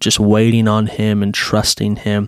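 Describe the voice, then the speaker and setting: A man speaks in a fairly low pitch. His intonation is monotone and flat. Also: dry, close sound with no echo. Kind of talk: devotional talk.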